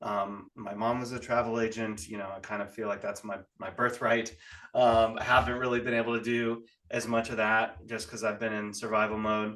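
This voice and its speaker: The man's voice has a bright, sharp tone at medium pitch. He speaks in a monotone, flat intonation. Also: moderate pace. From California. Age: 40s. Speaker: real estate investor. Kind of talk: podcast interview.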